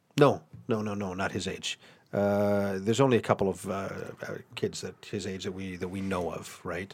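A man with a fairly low pitch talks at a moderate pace. His intonation is fairly even, while his loudness swings widely. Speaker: producer and director. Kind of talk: casual chat. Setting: studio.

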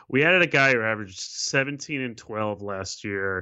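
This man has a normal speaking voice and ordinary pitch variation. He talks at a fairly quick pace. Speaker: basketball writer. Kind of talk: casual sports chat.

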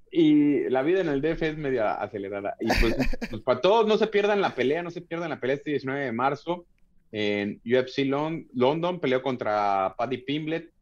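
Speaking in a Mexico City accent, a man uses a fairly high pitch and lively intonation at a moderate pace. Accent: Mexico City (chilango) Spanish. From Mexico City area (Tlalnepantla, State of Mexico). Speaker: MMA fighter. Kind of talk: casual chat. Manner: halting, many repeated words.

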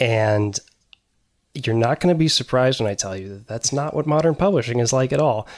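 This man talks at a fairly quick pace, with a medium pitch and lively intonation. He has an unremarkable speaking voice. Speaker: book editor. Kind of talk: casual chat.

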